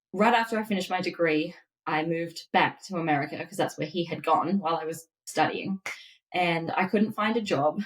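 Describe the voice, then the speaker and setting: At a moderate pace, a woman talks with an Australian accent, a medium pitch and ordinary pitch variation. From Australia, Melbourne. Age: 30s. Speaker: dietitian. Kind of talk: podcast interview.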